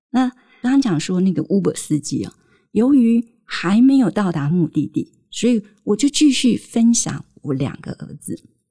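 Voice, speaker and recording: Speaking with a Taiwanese accent, a woman uses a medium pitch with very wide swings, a dark, mellow tone and a somewhat breathy quality, in a dry, close sound with no echo. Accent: Taiwanese Mandarin. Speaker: parenting podcast host. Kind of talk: storytelling monologue.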